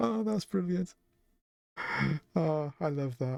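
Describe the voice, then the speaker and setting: A man whispers quietly, in a dry, close sound with no echo. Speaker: video game streamer. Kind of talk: live game stream chat. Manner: quiet, near whisper; halting, repeats words.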